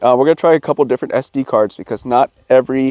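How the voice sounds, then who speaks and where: A man at medium pitch talks very fast with a dark, mellow tone. His intonation is fairly even, and the sound is dry and close with no echo. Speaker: hunting and outdoor gear YouTuber. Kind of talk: product review. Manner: casual, hesitant with fillers.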